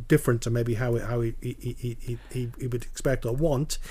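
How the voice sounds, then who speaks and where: A dark, mellow tone, somewhat breathy. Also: man. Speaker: podcast host. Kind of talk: casual interview chat.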